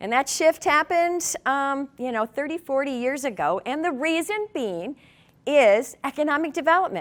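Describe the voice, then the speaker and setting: On a very clean recording with a silent background, a woman with an Upper Midwest accent speaks fairly slowly, her high pitch swinging very widely. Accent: Upper Midwest (Minnesota). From southern Minnesota, Martin County. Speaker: community leader. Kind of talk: presentation to an audience.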